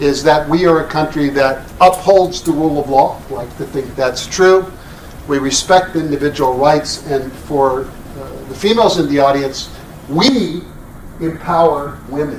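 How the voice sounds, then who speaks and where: Noticeable background noise and audible room echo surround a man speaking at a fairly slow pace with a fairly high pitch. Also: ordinary pitch variation. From Texas. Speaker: international law scholar. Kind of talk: panel talk.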